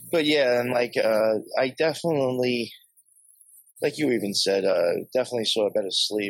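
A man with an American accent talks at a moderate pace and medium pitch in an ordinary speaking voice. His loudness stays very even, and his pitch varies an ordinary amount. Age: 40s. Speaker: podcaster. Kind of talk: casual chat.

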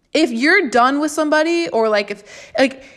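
A woman with an American accent and a high pitch speaks in an animated tone with lively intonation at a moderate pace. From Florida. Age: 20s. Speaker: podcast host. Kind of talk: casual monologue. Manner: rambling, repeats words; animated, sometimes aggressive.

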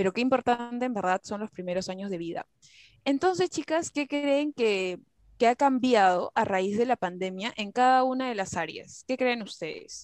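Heard dry and close with no echo, a woman with a high pitch speaks at a moderate pace with lively intonation. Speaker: psychology student podcast host. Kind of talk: casual panel chat.

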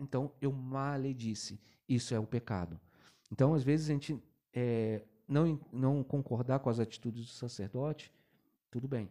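A man speaks at a medium pitch and a moderate pace, with a dark, mellow tone. The recording is very clean with a silent background, and his pauses are long and frequent. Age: 40s. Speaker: altar server and salesman. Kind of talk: casual religious chat.

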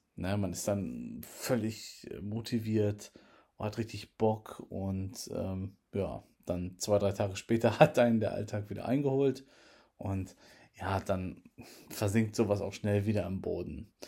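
A man's dark, mellow, fairly low voice at a very slow pace with ordinary pitch variation, on a very clean recording with a silent background. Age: 30s. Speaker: tech podcaster. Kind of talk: casual monologue.

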